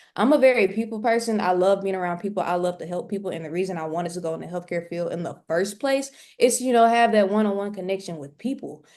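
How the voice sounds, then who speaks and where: The woman speaks very fast. Her voice sits at a medium pitch. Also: ordinary pitch variation, hardly any pauses, quiet background. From US South, Mississippi. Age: 20s. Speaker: nursing student and day trader. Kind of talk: interview.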